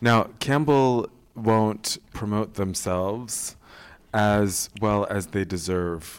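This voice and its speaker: A man with a fairly low pitch and an American accent, very slow pace, ordinary pitch variation, very clean recording with a silent background. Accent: sounds American. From England, with US teen years. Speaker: podcast host. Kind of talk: casual chat. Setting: stage with audience.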